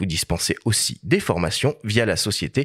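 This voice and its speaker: Against a silent background in a very clean recording, a man talks at a moderate pace with very wide pitch swings. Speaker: podcast host. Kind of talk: podcast interview intro. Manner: formal introduction.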